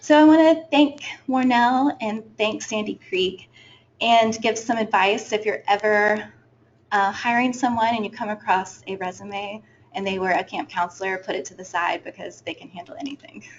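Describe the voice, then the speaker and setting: A woman speaks at a moderate pace and a fairly high pitch. Her intonation is lively, and her loudness swings widely. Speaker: student intern. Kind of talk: presentation. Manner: soft-spoken; hesitant, many fillers.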